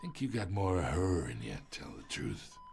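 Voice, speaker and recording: A man puts on a raspy character voice with a very deep, low pitch, swinging widely in both pitch and loudness. He keeps a moderate pace over music in the background. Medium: video game. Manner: sly, knowing.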